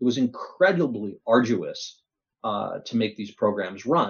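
This man has a plain, everyday voice at medium pitch, with ordinary pitch variation. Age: 50s. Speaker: technology executive. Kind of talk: interview.

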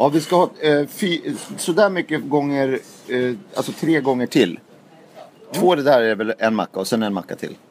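With an ordinary speaking voice, a man talks at a moderate pace, his fairly high pitch carrying lively intonation. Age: 40s. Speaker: podcast host. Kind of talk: casual chat.

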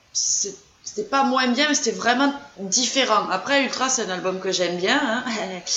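A woman with a southern French accent and a fairly high pitch speaks at a fairly slow pace with lively intonation, amid audible room echo and noticeable background noise. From southern France, Gers. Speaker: fan group founder. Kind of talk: casual chat.

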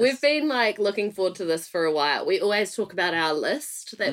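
Talking at a fairly quick pace, a woman uses lively intonation. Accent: New Zealand. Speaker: podcast host. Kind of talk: polished presenter. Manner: theatrical, puts on a character for intros.

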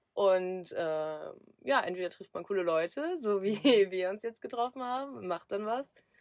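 Here is a woman with a plain, everyday voice at medium pitch. Her intonation is lively and her pace fairly slow. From southern Lower Saxony, Germany. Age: 20s. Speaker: van traveller. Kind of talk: casual chat.

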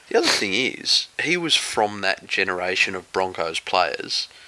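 The man's speech is fairly slow. He has an Australian accent. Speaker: podcast co-host, rugby league. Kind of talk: casual chat.

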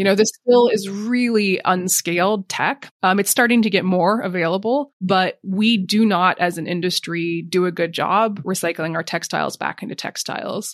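With an ordinary speaking voice and an American accent, a woman talks at a moderate pace with hardly any pauses, her medium pitch showing ordinary variation against a quiet background. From US, Montana. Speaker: sustainability executive. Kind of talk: interview.

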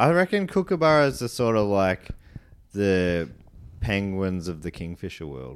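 Speaking in an Australian accent at a moderate pace, a man with a fairly low voice swings very widely in pitch. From Australia, country Victoria. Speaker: comedian and podcaster. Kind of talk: casual chat.

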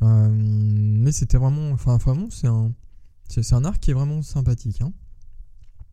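A man's dark, mellow voice at a fairly slow pace. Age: 30s. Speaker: podcast host. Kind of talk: casual monologue. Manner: hesitant, many fillers.

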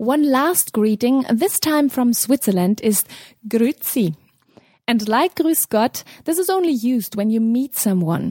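In a German accent, a dark, mellow voice moves at a fairly slow pace with very wide pitch swings and very even loudness, recorded dry and close with no echo. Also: woman. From Germany. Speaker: cultural correspondent. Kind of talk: scripted report.

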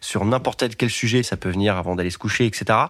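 Here is a man with a plain, everyday voice and ordinary pitch variation, talking at a moderate pace. The recording is very clean, with a silent background. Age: 30s. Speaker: adult diagnosed with ADHD. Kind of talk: testimony.

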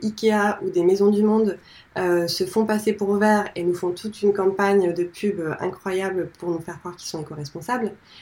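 A woman's dark, mellow tone at medium pitch, fairly even intonation and a moderate pace. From north-eastern France. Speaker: founder of eco-design school. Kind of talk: interview conversation.

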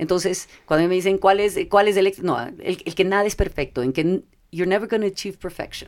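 In an ordinary speaking voice, a woman talks at a medium pitch with ordinary pitch variation. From Ecuador. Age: 50s. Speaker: corporate affairs manager. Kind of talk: interview conversation. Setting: studio.

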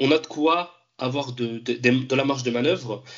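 A man speaks at a medium pitch with fairly even intonation in an unremarkable speaking voice. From France. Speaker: football fan commentator. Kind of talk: casual chat.

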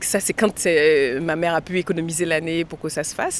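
This woman has a very deep, low pitch. She talks at a moderate pace with fairly even intonation. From Haiti, Port-au-Prince. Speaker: actress and film director. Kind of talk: interview. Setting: outside a cinema after a screening.

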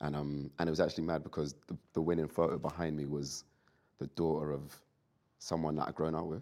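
A man with a London accent speaks at a very fast pace in a very deep, low pitch, his dark, mellow tone held in a monotone, flat intonation and broken by long, frequent pauses. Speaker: rapper. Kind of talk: casual chat.

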